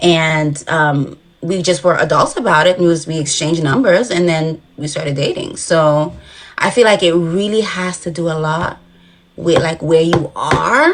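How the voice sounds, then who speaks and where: Against a quiet background, a woman with a fairly low pitch speaks at a moderate pace with ordinary pitch variation. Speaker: dating show contestant. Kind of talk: casual chat. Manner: rambling hesitant with many fillers.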